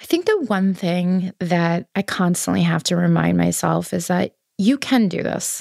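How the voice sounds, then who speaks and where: A woman with an American accent, at a fairly slow pace, with hardly any pauses, in a dry, close sound with no echo. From New York City, Queens. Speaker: patient sharing illness story, fashion worker. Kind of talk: personal testimony interview.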